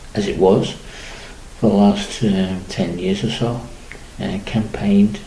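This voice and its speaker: Against noticeable background noise and audible room echo, a man talks at a moderate pace. His pitch is fairly low and his intonation lively. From Liverpool, England. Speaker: community campaigner and radio presenter. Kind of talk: radio monologue. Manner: halting, many fillers.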